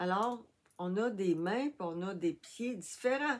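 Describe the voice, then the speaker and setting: A woman speaks in a Quebec accent at a very slow pace. Her intonation is lively. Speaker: crafting YouTuber. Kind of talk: tutorial. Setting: home workshop, filming with tablet. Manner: soft-spoken.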